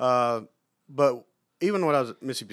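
A man with an Alabama accent speaks at a very fast pace with ordinary pitch variation. The recording is very clean, with a silent background. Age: 40s. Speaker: sports turf manager. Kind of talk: casual interview. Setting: on campus, recorded on the road.

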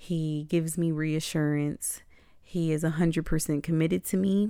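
On a very clean recording with a silent background, a woman speaks in a very deep, low pitch with a dark, mellow tone. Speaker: podcast host and poet. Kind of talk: casual monologue.

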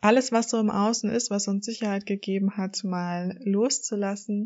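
Somewhat breathy, a woman talks at a fairly slow pace. Her intonation stays fairly even. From northern Germany, Hamburg area. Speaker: coach and podcast host. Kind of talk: solo podcast monologue.

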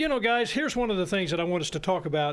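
Pitched high, a man talks with an American accent and ordinary pitch variation. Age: 60s. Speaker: radio host, financial advisor. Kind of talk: radio talk show interview. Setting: radio studio.

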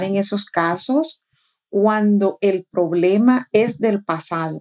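A woman's medium-pitched voice has a dark, mellow tone and ordinary pitch variation. She speaks at a very slow pace, recorded with a dry, close sound and no echo. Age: 40s. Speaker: life coach and podcast co-host. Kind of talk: casual chat.

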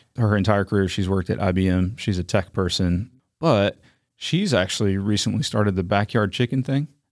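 A normal speaking voice, this man talks with an American accent at a fairly low pitch and a fairly quick pace, with ordinary pitch variation and very even loudness, on a very clean recording with a silent background. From North Carolina, Raleigh. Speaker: nature center CEO. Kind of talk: interview.

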